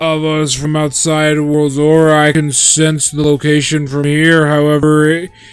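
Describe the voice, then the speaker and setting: Using a put-on character voice, a man talks at a moderate pace with a fairly high pitch and monotone, flat intonation. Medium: game stream. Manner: formal, long-winded exposition.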